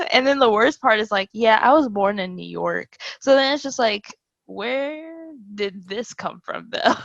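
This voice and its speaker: A woman with a slight Southern US accent speaks at a fairly slow pace and a fairly high pitch. Her pitch varies in an ordinary way, while her loudness swings a lot. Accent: slight Southern accent, formerly Valley girl. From Florida. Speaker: podcast co-host. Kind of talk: casual chat.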